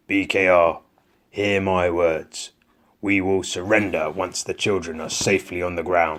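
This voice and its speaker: Putting on a character voice, a man speaks at a moderate pace in a gruff, raspy tone with a very deep, low pitch. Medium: read story. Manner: gruff, commanding.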